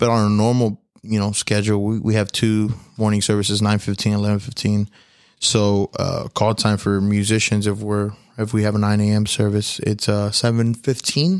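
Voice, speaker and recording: This man, with an American accent, talks at a moderate pace in a fairly low pitch, with very even loudness and flat, monotone intonation. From Houston, Texas. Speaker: church media worker and musician. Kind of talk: casual chat. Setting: hotel room.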